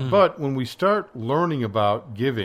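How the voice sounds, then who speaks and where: An ordinary speaking voice from a man, pitched fairly high. He keeps a moderate pace with lively intonation. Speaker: radio host. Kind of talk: casual radio discussion.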